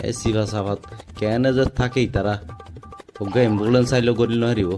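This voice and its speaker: A man talks with a Chittagong accent at a medium pitch. Music plays in the background. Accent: Chittagonian. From Chittagong, Bangladesh. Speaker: comedy vlogger. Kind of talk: comic vlog talk to camera. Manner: excited, exclamatory.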